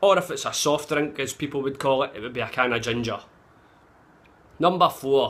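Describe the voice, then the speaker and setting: A man with a Glaswegian accent has a fairly high pitch and a bright, sharp tone. He talks at a moderate pace with ordinary pitch variation and long, frequent pauses. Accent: Glaswegian Scottish. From Glasgow, Scotland. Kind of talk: casual talk to camera. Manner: profane, blunt. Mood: cheeky, sweary, animated. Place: home room. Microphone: phone near.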